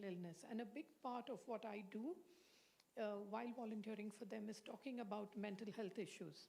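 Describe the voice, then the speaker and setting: Her voice is fairly high with a dark, mellow tone, and this woman speaks at a fairly quick pace with fairly even intonation and very even loudness. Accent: Indian. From India. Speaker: psychiatrist. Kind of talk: lecture.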